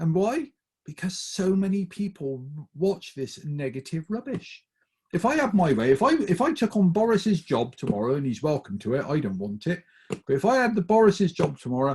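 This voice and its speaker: A high-pitched man in a Bristol accent with very wide pitch swings. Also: moderate pace. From England, Bristol. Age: 50s. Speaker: motivational speaker. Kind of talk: talk to a group. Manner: animated.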